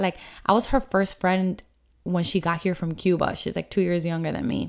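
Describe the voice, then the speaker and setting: This woman speaks at a medium pitch. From Miami, Florida. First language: Spanish. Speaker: podcast host. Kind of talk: casual solo podcast monologue.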